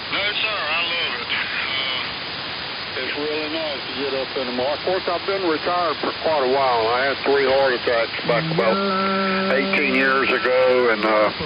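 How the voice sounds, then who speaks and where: A man's fairly high voice at a moderate pace with ordinary pitch variation, amid audible room echo and noticeable background noise. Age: 70s. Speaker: retired hot rod builder. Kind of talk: casual chat.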